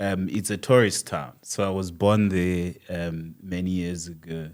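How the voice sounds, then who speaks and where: On a very clean recording with a silent background, a man with a very deep, low pitch speaks at a fairly slow pace with fairly even intonation. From South Africa, Limpopo (Bela Bela). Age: 40s. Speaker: author. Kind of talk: interview.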